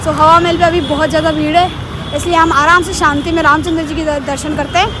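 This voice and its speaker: A woman speaks in a raised, projected voice amid noticeable background noise and audible room echo. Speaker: travel vlogger. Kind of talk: travel vlog. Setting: outdoors. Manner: casual, conversational.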